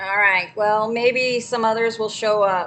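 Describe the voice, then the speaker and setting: Loud and bright with a sharp tone, a woman speaks at a fairly high pitch and a fairly slow pace with fairly even intonation. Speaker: livestreamer sharing scripture. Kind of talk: casual livestream talk with scripture reading.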